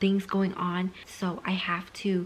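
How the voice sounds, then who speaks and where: This is a woman. She is whispering. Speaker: book vlogger. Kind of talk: casual vlog. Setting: at home at night.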